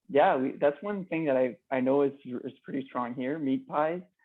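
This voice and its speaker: In a Quebec accent, a man talks with a fairly high pitch. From Quebec, Canada. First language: French. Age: 20s. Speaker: customer sharing experience. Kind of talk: casual interview chat. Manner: halting.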